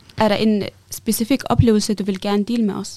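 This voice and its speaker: Dark, mellow tone from a woman at medium pitch, with a moderate pace. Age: young. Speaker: interviewer. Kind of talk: interview. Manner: hesitant.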